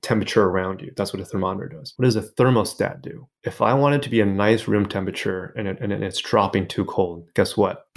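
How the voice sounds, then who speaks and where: In a very clean recording with a silent background, a man with a normal speaking voice talks at a fairly quick pace with hardly any pauses, his fairly low pitch showing ordinary variation. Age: 40s. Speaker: business and transformation coach. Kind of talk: interview conversation.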